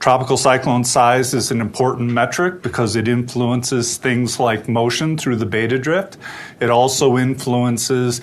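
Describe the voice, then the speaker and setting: At a fairly slow pace, a man speaks with fairly even intonation in a room with audible echo. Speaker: atmospheric science researcher. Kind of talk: lecture. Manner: loud.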